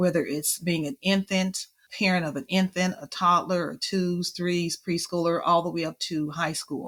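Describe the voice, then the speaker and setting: At a moderate pace, a woman with fairly low pitch speaks with fairly even intonation in a dry, close sound with no echo. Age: 60s. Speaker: childcare and family financial literacy expert. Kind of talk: interview.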